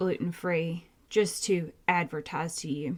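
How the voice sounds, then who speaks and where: A woman speaks with a Southern US accent. Her pitch moves in an ordinary way. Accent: Southern twang. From Georgia, US South. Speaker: podcast host, nurse practitioner. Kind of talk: casual educational podcast talk. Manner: animated.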